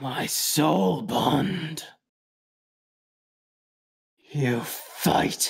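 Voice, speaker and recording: A put-on character voice growls at a low-to-middle pitch, guttural and raspy. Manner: menacing.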